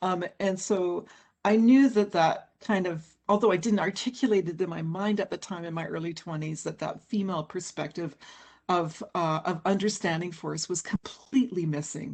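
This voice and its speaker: Here is a normal speaking voice, a woman's at medium pitch. She goes at a moderate pace with ordinary pitch variation. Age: 60s. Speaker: forest scientist and author. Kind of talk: panel interview.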